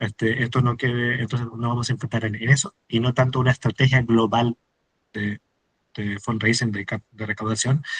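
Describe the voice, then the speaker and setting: At a fairly quick pace, a man with a medium-pitched, somewhat breathy voice speaks in a monotone, flat intonation, with a dry, close sound and no echo. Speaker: fundraising and marketing expert, workshop speaker. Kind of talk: workshop talk. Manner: fast, words run together; many fillers (este, eh).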